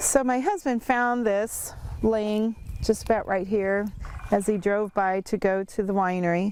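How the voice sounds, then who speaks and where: Intonation here stays fairly even. It is an ordinary speaking voice. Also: woman, medium pitch for a woman. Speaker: winery owner. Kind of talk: interview answer.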